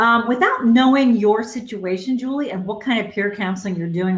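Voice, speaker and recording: A woman's somewhat breathy voice, with ordinary pitch variation, carries audible room echo. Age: 60s. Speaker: career coach. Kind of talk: live Q&A advice session. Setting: Facebook Live stream. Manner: conversational, filler-heavy.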